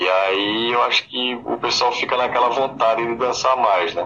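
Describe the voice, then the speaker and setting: A man talks at a moderate speed as noticeable background noise carries on behind him. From Pernambuco sertão, Brazil. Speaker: musician, forró band singer. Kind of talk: radio interview. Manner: halting, with fillers.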